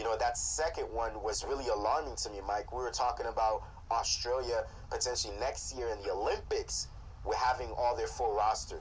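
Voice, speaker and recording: The speech runs at a fairly quick pace with noticeable background noise. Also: man. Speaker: radio show host. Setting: studio.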